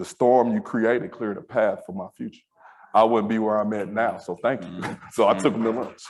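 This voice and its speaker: Fairly quick and fairly low, a man speaks in a plain, everyday voice with an American accent. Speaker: school safety director. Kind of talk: panel discussion.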